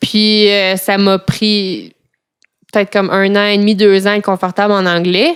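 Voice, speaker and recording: A woman speaks in a Quebec accent at a fairly slow pace. Her intonation is monotone and flat, and her loudness stays very even. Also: medium pitch for a woman. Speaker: interviewee. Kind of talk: casual chat.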